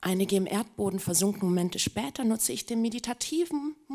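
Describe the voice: Plain reading aloud, its intonation lively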